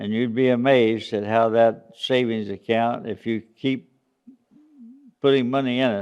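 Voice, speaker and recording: A man in an Appalachian accent, medium pitch, fairly even intonation and a fairly slow pace. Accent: Southern US (Appalachian). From US South, East Tennessee (Smoky Mountains). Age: 80s+. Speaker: church senior speaking to children. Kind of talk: children's talk. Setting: church children's program. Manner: halting, with fillers.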